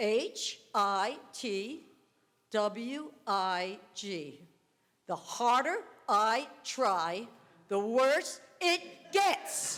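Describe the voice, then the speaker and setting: A woman speaks at a very slow pace with very wide pitch swings and audible room echo. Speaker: amateur comedian. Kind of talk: stand-up. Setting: church stage with audience. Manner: shaky voice.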